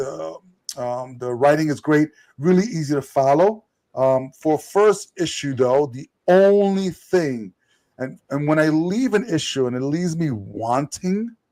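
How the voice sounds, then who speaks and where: A man with a New York accent speaks at a fairly slow pace and a fairly high pitch. His tone is dark and mellow, and his intonation is lively. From New York, Puerto Rican family. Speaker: podcast co-host, comic reviewer. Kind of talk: casual chat, comic review. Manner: halting, many fillers and repeated words.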